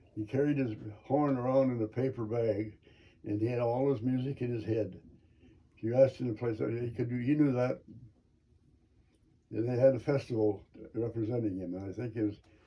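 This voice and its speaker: Fairly quick speech with long, frequent pauses, somewhat breathy, with fairly even intonation. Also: man, medium pitch for a man. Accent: American. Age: 80s+. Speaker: Navy veteran, trained in pharmacy. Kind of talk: interview answer.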